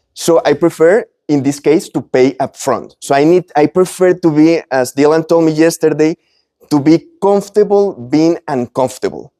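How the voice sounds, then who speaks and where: A man with a Spanish accent speaks at a moderate pace with ordinary pitch variation, his fairly high voice dark and mellow in tone, recorded dry and close with no echo. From Colombia. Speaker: business owner and speaker. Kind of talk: presentation to live audience. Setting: event with live audience. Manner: halting, with self-corrections.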